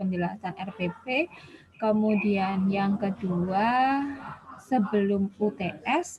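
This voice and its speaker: Speaking with lively intonation at a very slow pace, a woman with a fairly high pitch is heard over noticeable background noise. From Ponorogo, East Java, Indonesia. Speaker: nursing lecturer. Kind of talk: online lecture. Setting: video call.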